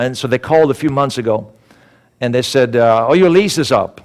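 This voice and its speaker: Talking at a very fast pace with a Swedish accent, a man sounds animated, his pitch varying in an ordinary way. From Sweden. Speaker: motivational speaker. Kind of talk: sermon. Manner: animated storytelling.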